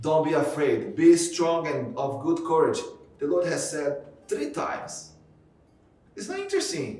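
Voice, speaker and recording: A speaker with a Portuguese accent talks at a fairly slow pace, with long, frequent pauses. Noticeable background noise and audible room echo are present. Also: man. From Brazil. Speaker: pastor. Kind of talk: sermon.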